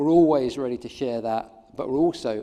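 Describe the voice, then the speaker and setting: Ordinary pitch variation runs through the dark, mellow tone of this man's voice. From England. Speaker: keynote speaker, social marketing professor. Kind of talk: conference keynote. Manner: hesitant, many fillers.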